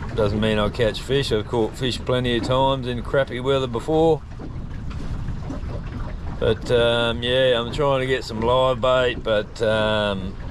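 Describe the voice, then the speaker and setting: A man speaks at a fairly slow pace over noticeable background noise, the sound dry with no echo. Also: fairly even intonation. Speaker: fishing vlogger. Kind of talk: casual vlog chat. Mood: relaxed, mildly grumbling. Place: boat. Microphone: phone near.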